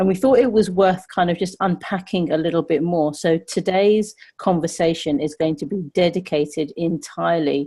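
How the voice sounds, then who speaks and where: A woman's fairly low, dark and mellow voice in a London accent, at a moderate pace with ordinary pitch variation over a quiet background. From London, England. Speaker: podcast host. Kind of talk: casual chat.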